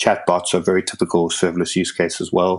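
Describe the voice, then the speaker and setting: This man talks at a very fast pace in a monotone, flat intonation. His pitch is very deep and low. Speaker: tech meetup organiser. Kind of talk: podcast interview. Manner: halting with repetitions.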